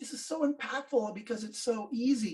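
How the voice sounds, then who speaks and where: A man's voice with ordinary pitch variation. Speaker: business coach. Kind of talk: tutorial. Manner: fast.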